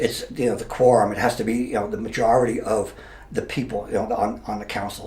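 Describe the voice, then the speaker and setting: Over noticeable background noise and audible room echo, a man with an American accent speaks at a fairly quick pace. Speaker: mayor, retired police officer. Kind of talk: interview. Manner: halting.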